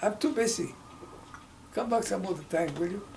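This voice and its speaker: The speaker talks at a fairly quick pace in a Mexican accent, with ordinary pitch variation. Noticeable background noise and audible room echo are present. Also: man. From Mexico, state of Hidalgo. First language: Spanish. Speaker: civil rights activist. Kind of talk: oral history interview. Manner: halting, with self-corrections.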